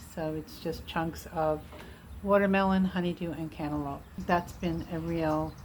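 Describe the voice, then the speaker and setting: A woman speaks in a relaxed tone at a moderate pace, her fairly low voice flat and monotone over noticeable background noise. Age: 60s. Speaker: vlogger documenting weight loss. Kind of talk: casual personal update vlog. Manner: relaxed, frequent fillers and hesitations.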